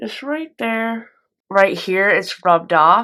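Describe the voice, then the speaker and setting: A woman's voice with lively intonation. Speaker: beauty vlogger. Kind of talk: makeup review vlog. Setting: at home. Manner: casual, chatty.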